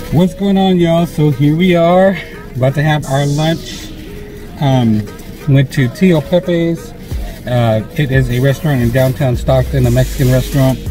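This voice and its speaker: Clear music plays in the background as a man talks at a moderate pace with ordinary pitch variation. The sound is dry, with no echo. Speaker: food vlogger. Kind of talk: casual vlog chat. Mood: upbeat, relaxed. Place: car. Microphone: phone near.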